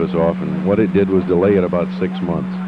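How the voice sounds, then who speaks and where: Over noticeable background noise, a man talks very fast with lively intonation. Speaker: radio station general manager. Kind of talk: casual speech about station history.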